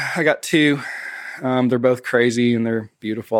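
A man with an American accent, medium pitch and an unremarkable speaking voice. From Tennessee, US (Nashville/Knoxville). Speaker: church communications director and graphic designer. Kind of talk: casual interview.

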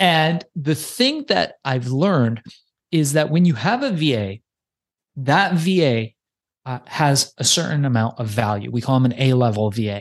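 At a moderate pace, a man speaks at medium pitch with lively intonation. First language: not English. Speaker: podcast booking agency owner. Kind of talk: interview. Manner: casual.

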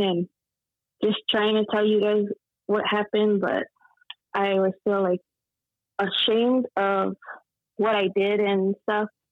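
Speaking in an American accent, a woman keeps a very even loudness and a fairly slow pace, with long, frequent pauses. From Texas. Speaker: guest sharing faith testimony. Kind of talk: testimony.

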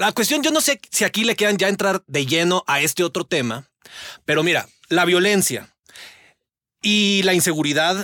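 A man speaks with lively intonation and an animated, bright, sharp tone, recorded dry and close with no echo. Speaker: political analyst. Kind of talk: panel discussion. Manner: animated, slangy.

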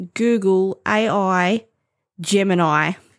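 The recording is very clean, with a silent background. In it, a woman talks in an Australian accent. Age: 50s. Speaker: podcast host. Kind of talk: casual monologue.

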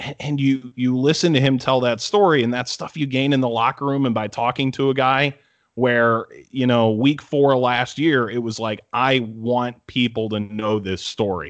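A man with an American accent talks at a moderate pace, his medium pitch carrying fairly even intonation. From Cleveland, Ohio. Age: 20s. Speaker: sports broadcaster. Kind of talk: casual interview chat.

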